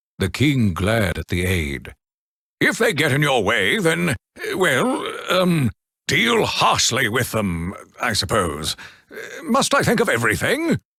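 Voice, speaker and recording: A man uses a cartoonish character voice at a fairly slow pace. Long pauses come often. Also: medium pitch for a man. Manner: blustering, flustered.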